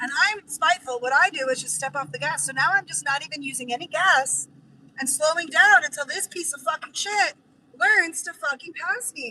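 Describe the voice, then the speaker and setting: Speaking in a raised, projected voice at a moderate pace, a woman sounds animated and passionate, her high pitch carrying ordinary pitch variation while her loudness swings widely. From Idaho, US. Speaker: vanlife streamer and move-abroad coach. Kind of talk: casual live-stream chat while driving. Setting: in a car. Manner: animated, passionate.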